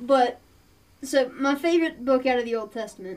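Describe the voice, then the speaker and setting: A woman talks at a high pitch in an Appalachian accent. Her pitch varies in an ordinary way. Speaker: podcast co-host. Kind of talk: casual chat.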